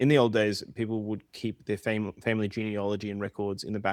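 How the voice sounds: What we hear is a natural reading voice. It carries the lines through.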